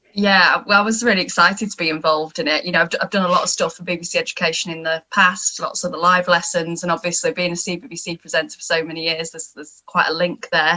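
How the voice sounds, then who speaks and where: In a northern English accent, a woman speaks at a very fast pace with hardly any pauses, a fairly low pitch, fairly even intonation and big swings in loudness, over noticeable background noise. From northern England. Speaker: TV and radio presenter. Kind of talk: panel discussion.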